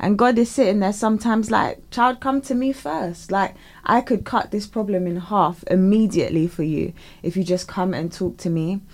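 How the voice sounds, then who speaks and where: A woman speaks at a moderate pace with medium pitch and ordinary pitch variation, in an unremarkable speaking voice. The recording is very clean with a silent background. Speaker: radio co-host. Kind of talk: casual radio banter and devotional reading. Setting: radio studio. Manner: laughing, chatty, cheerful.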